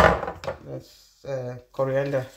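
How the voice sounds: A woman's extremely low, monotone, flat voice with vocal fry, at a very slow pace, with audible room echo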